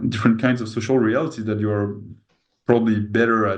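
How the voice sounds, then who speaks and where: A man talks in a French accent at a medium pitch. An audible room echo surrounds his voice. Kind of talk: interview conversation. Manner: halting.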